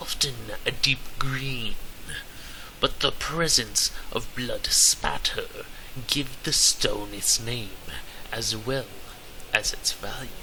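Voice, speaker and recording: A man's put-on character voice at a very slow pace, with long, frequent pauses and clear background noise. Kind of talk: comic overacting. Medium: solo performance. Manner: theatrical, exaggerated.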